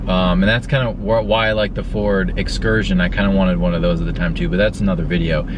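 A man with a very deep, low pitch rushes along at a very fast pace with very wide pitch swings and hardly any pauses. The sound is dry with no echo, over noticeable background noise. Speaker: car vlogger. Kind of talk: casual vlog chat. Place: car. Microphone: phone near.

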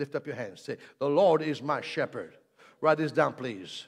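Against a quiet background, a man with a fairly high pitch talks in an animated tone at a fairly slow pace. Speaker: preacher. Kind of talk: sermon; energetic preaching with call-and-response altar call. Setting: church with live congregation. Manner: animated, exhorting the congregation, repeated commands to say amen and lift hands; jokey, playful with the audience. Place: church. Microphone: handheld.

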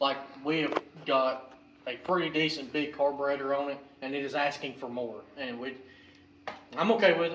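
A man speaks with fairly even intonation over light background noise, his voice carrying audible room echo. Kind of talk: casual vlog chat. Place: garage. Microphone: camera far.

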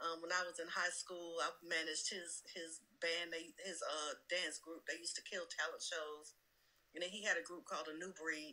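A woman with an American accent, a fairly low pitch and a bright, sharp tone, at a moderate pace with fairly even intonation. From US South. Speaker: music industry executive. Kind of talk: casual interview. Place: home room.

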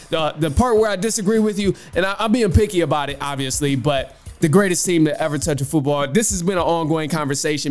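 Faint music plays in the background as the speech runs at a very fast pace with hardly any pauses and ordinary pitch variation. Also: man. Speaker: podcast host. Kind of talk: commentary responding to caller. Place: home room. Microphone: studio mic.

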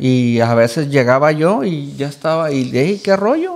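A man with a fairly high pitch at a very slow pace, over a quiet background. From Michoacán, Mexico. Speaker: influencer, podcast guest. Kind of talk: casual chat, interview; interview answer. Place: studio. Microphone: studio mic.

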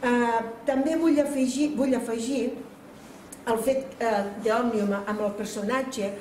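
Very slow speech with audible room echo and light background noise. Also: woman. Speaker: cultural association president. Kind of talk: formal speech at event. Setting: stage with audience. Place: hall. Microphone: camera far.

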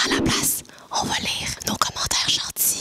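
Whispering comes from a woman. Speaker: YouTube duo host. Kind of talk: ASMR reading of viewer comments. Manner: whispered. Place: home room. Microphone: studio mic.

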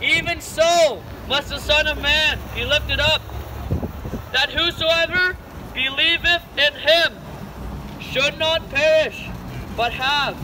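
With a raised, projected voice, a man speaks at a very slow pace and fairly even intonation over light background noise. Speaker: street preacher. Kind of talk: sermon. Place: street. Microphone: camera far.

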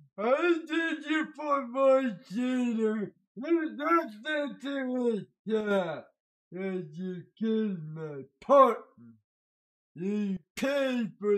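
A put-on character voice from a man, high-pitched and at a very slow pace. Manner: threatening.

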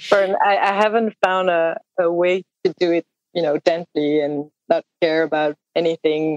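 A woman speaks with a French accent and fairly even intonation. The sound is dry and close, with no echo. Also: fairly low pitch for a woman, moderate pace. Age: 30s. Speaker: indie musician. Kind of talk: casual interview chat. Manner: halting, searching for words.

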